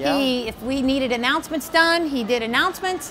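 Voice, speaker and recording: Over light background noise, a woman speaks in a raised, projected voice. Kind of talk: casual introductions. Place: classroom. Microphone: camera far.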